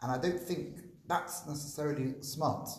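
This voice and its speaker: A man speaks at a moderate pace, his pitch varying in an ordinary way, as audible echo fills the room. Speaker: rabbi and school teacher. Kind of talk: public conversation about personal loss. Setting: live event with audience.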